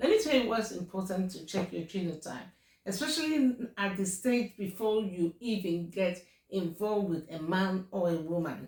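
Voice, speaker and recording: With a Nigerian accent, a woman speaks at a moderate pace in a medium pitch. Her voice is somewhat breathy, and her intonation is lively. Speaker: YouTuber. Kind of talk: casual advice talk to camera. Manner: hesitant, many fillers.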